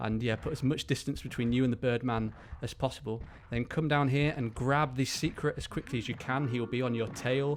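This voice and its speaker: Fairly even intonation and a fairly quick pace from a man with a medium-pitched voice. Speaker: video game walkthrough commentator. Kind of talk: gameplay tutorial commentary. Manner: fast.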